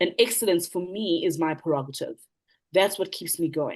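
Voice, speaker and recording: Over a quiet background, a woman with a South African accent speaks at a moderate pace in a medium pitch with lively intonation. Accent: South African (Zulu) English. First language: isiZulu. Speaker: motivational speaker, businesswoman. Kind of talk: panel Q&A answer.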